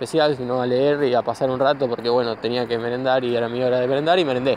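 Through noticeable background noise, a man with a medium pitch talks at a very fast pace in a Rioplatense accent. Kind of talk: casual talk recorded while walking. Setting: outdoors. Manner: improvised, informal.

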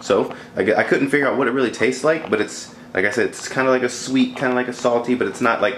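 The man talks at a very fast pace. Light background noise and audible room echo are present. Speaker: fitness vlogger. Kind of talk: casual vlog chat. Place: kitchen. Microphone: phone near.

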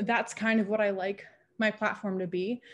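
A woman speaks in a monotone with flat intonation. Her voice is somewhat breathy. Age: 20s. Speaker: online content creator, sex worker; interviewee, online content creator. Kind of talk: interview. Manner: casual, filler-heavy. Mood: relaxed, reflective. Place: home room. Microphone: video call.

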